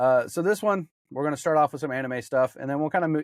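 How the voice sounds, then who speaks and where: Lively intonation marks this man's speech, heard on a very clean recording with a silent background and a dry, close sound with no echo. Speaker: podcast host. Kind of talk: casual chat. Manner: stumbling over words.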